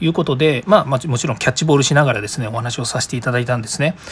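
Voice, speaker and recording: The man's voice is somewhat breathy. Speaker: podcast host. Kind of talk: solo podcast monologue. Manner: fast.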